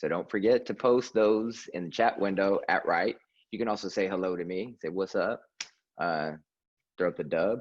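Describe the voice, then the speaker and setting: Pitch varies in an ordinary way at a moderate speed. It is a plain, everyday voice. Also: man, fairly low pitch for a man. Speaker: poet, event host. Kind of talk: introducing a poet at a reading. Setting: video call.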